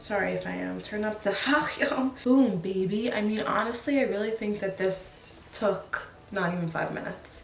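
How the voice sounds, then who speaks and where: A woman at a medium pitch talks at a moderate pace in an animated tone. Noticeable background noise and audible room echo fill the recording. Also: ordinary pitch variation. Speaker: beauty vlogger. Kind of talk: makeup tutorial. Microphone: may be too quiet.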